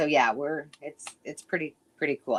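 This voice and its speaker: The recording of the woman is dry and close, without any echo. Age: 50s. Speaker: crafter. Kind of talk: casual chat.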